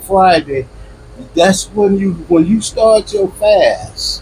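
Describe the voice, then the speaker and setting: Very slowly, a man gets his words out while noticeable background noise fills the recording. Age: 70s. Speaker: elder in religious street debate. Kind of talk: heated debate.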